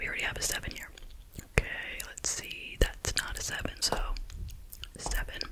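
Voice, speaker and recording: A soft-spoken voice talks in a whisper. Loud background noise fills the recording. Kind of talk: tutorial. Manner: soft close ASMR whisper.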